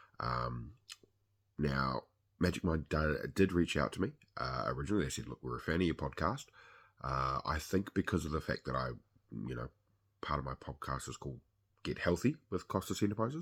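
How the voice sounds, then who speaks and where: In a New Zealand accent, a man with a very deep, low pitch and vocal fry talks at a fairly quick pace with lively intonation and long, frequent pauses, on a very clean recording with a silent background. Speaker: podcast host. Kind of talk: product review monologue. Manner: casual with frequent fillers.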